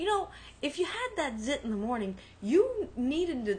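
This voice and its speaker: Speaking with a strong New York accent, a woman talks at a moderate pace with lively intonation. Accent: New York, heavy. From Brooklyn, New York. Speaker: podcast co-host. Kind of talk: casual chat.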